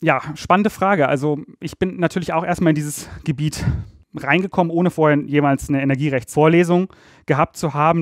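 In a very clean recording with a silent background and a dry, close sound with no echo, a man speaks at a moderate pace and fairly high pitch with ordinary pitch variation. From Rhineland, Germany (Ratingen near Düsseldorf). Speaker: energy law expert. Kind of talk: interview. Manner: hesitant, many filler sounds.

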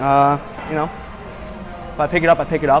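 Speech comes at a fairly quick pace with clear music in the background. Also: man. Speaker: lifter vlogger. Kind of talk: casual vlog chat. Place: gym. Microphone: lapel.

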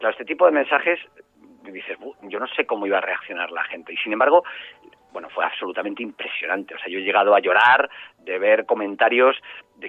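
An unremarkable speaking voice from a man at a medium pitch, with ordinary pitch variation and a fairly quick pace. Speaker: journalist and author. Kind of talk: interview.

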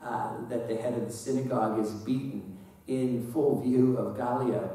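Strong room echo surrounds a man speaking at a fairly slow pace. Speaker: priest. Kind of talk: sermon. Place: church.

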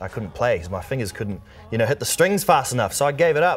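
A man speaks with lively intonation. He has a New Zealand accent. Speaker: singer-songwriter and producer. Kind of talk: casual interview chat. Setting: TV studio. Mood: relaxed, cheerful storytelling. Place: studio. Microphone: lapel.

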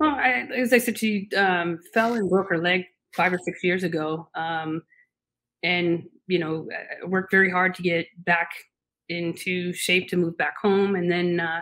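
Speaking at a fairly slow pace, a woman has a fairly low pitch and ordinary pitch variation. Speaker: remote podcast guest. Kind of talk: interview answer. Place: home room.

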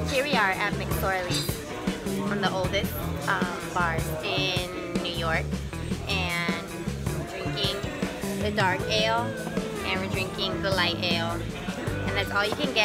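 A woman at a fairly slow pace, with long, frequent pauses and loud music in the background. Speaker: bar visitor vlogger. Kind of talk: casual vlog chat. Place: bar. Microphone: phone near.

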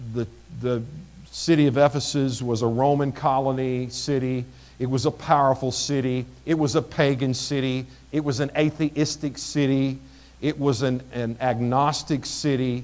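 At a moderate pace, a man talks in a monotone with flat intonation. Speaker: pastor. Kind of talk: sermon. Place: church.

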